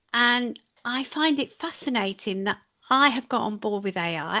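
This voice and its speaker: A woman's bright, sharp tone with ordinary pitch variation, over a quiet background. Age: 60s. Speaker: leadership and management mentor. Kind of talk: casual interview chat.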